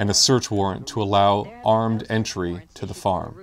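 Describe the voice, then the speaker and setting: This man has a normal speaking voice, pitched medium and delivered at a moderate pace. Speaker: video narrator. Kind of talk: scripted political documentary narration. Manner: formal, measured, earnest.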